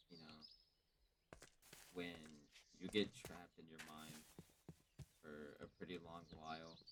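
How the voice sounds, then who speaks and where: A man is heard. His voice sits at a very deep, low pitch. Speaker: vlogger. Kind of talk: personal monologue. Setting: at home on a voice call. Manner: soft-spoken.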